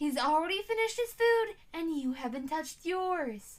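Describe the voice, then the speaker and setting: In a squeaky, put-on character voice, a woman speaks at a moderate pace with extremely high pitch and very wide pitch swings. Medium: read story. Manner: stern.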